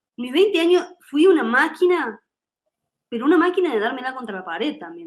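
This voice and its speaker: This woman talks at a fairly quick pace. Her pitch swings very widely. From Argentina, Córdoba. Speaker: musician and singer. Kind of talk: interview.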